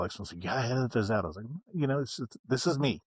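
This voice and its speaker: Recorded very cleanly against a silent background, with a dry, close sound and no echo, a man with an American accent sounds somewhat breathy and varies his pitch in an ordinary way. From West Virginia. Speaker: motorcycle vlogger. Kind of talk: casual interview chat. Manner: pauses to collect thoughts; low-key, not high energy.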